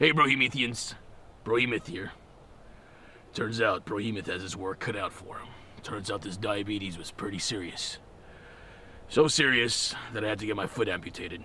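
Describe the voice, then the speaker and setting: A man's raspy, put-on character voice at medium pitch, moderate in pace with long, frequent pauses, over clear background noise. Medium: voice reel. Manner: brash, loud.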